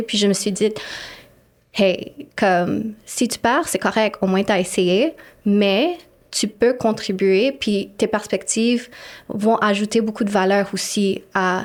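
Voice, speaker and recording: Over a silent background in a very clean recording, a woman speaks very slowly at a medium pitch, with ordinary pitch variation and big swings in loudness. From Montreal, Quebec. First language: English (speaking French). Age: 30s. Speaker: city councillor. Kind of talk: interview conversation.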